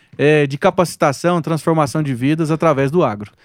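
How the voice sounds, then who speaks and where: Recorded very cleanly against a silent background, a man talks at a moderate pace with ordinary pitch variation. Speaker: agronomist and content creator. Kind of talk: casual interview chat.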